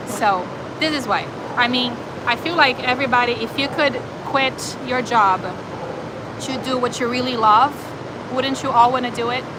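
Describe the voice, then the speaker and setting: A woman's high voice with a slight Brazilian accent at a moderate pace, broken by long, frequent pauses, with noticeable background noise and audible room echo. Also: fairly even intonation. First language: Portuguese. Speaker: animal shelter volunteer and live streamer. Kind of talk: live stream chat reading viewer comments. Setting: animal shelter. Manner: casual, with hesitations and fillers.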